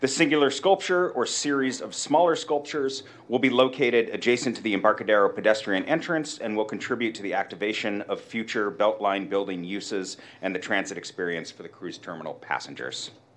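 At a fairly quick pace and with hardly any pauses, a man talks in an unremarkable speaking voice with lively intonation. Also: medium pitch for a man, big swings in loudness. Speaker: arts commission project manager. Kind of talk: public agency presentation.

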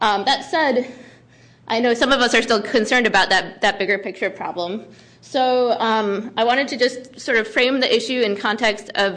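A woman's fairly high-pitched voice with a bright, sharp tone, fairly even intonation, very even loudness and a moderate pace. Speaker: transportation planner. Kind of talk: formal presentation. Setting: hearing room, broadcast.

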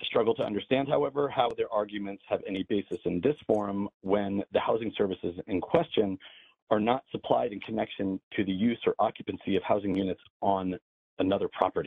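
A man speaks at a fairly quick pace in a fairly low pitch. It is a normal speaking voice with ordinary pitch variation. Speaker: landlord. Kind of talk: public comment. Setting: phone call.

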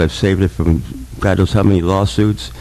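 Over noticeable background noise, a man with a fairly low pitch talks at a very fast pace. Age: 60s. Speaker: public commenter. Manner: halting.

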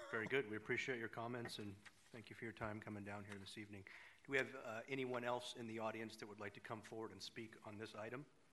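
A man's very fast, monotone delivery with flat intonation over noticeable background noise. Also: medium pitch for a man. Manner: formal.

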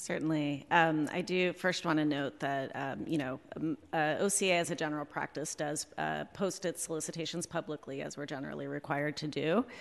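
A woman's very deep, low voice with vocal fry, fairly quick and fairly even in intonation, with hardly any pauses. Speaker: city contracting office director. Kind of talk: formal presentation to committee. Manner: hesitant, many fillers.

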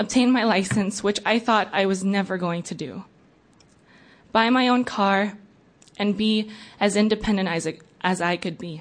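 With fairly even intonation and a medium pitch, a woman speaks at a moderate pace, leaving long, frequent pauses. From came to US age four, immigrant. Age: 20s. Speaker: public commenter, DACA recipient. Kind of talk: public testimony.

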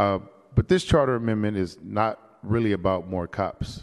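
With an ordinary speaking voice, a man talks at a fairly slow pace, fairly low in pitch and with fairly even intonation. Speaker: city supervisor, vice chair. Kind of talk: formal committee debate.

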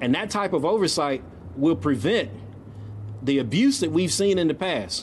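A man with an American accent speaks at a moderate pace in a fairly high voice with vocal fry, his pitch swinging very widely and his speech broken by long, frequent pauses. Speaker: nonprofit CEO and former state legislator. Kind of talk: ceremonial speech. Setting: outdoor public event with audience.

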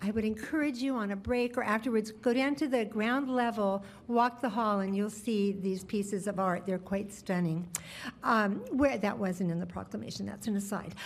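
A woman speaks at a moderate pace and a medium pitch. Her voice is somewhat breathy, with ordinary pitch variation. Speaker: mayor chairing city council meeting. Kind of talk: formal public meeting chairing. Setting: council chambers with public and some remote members.

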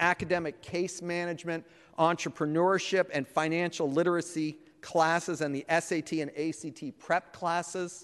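Speaking at a moderate pace, the man has a high-pitched voice. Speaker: city council member. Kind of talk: formal public meeting. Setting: legislative chamber in city hall. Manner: halting, many fillers.

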